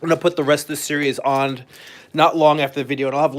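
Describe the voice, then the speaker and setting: Speaking at a very fast pace, the man keeps his intonation fairly even. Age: 40s. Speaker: comic artist. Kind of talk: live stream tutorial. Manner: casual, with frequent fillers.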